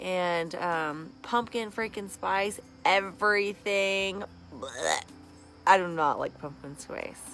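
A woman speaks with ordinary pitch variation. The sound is dry with no echo, and faint music plays in the background. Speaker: vlogger. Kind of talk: casual vlog chat. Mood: cheerful, playful. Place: garden. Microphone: phone near.

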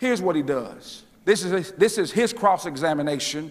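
Animated in tone, a man talks at a moderate pace with lively intonation. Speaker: preacher. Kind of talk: sermon. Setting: church. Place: church. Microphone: lapel.

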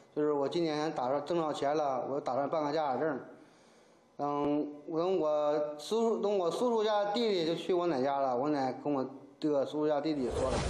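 Heard with audible room echo, the voice keeps a moderate pace, very even loudness and ordinary pitch variation. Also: man. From Gaizhou, Liaoning, Northeast China; Liaoning. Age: 30s. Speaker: fraud victim, sailor. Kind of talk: interview testimony. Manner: halting, repetitive. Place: office.

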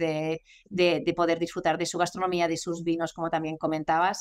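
The voice is monotone, with flat intonation. It moves at a moderate pace against a quiet background. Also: woman. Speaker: guest. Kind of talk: interview answer. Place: office. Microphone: video call.

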